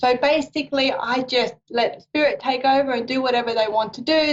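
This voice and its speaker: A woman's high-pitched voice with an Australian accent, at a moderate pace. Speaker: psychic reader. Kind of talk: live psychic radio show introduction. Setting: live stream with camera.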